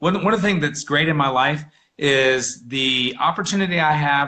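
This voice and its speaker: A loud voice with a bright, sharp tone. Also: man. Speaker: real estate agent. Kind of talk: casual interview chat. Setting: live video stream. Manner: halting, many repeated words.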